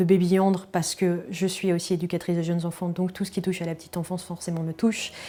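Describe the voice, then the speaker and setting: Intonation is monotone and flat throughout. Dark and mellow describes the tone. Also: woman. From France, Moselle (Metz), Lorraine. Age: 30s. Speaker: early childhood educator and handball goalkeeper. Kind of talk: interview testimony. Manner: hesitant, many fillers.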